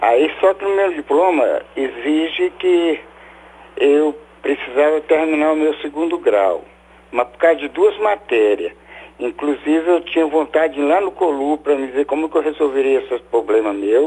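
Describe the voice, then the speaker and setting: A man's voice, fairly high in pitch with ordinary pitch variation, comes at a fairly slow pace. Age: 60s. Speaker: caller, former radiology technician. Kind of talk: phone-in call.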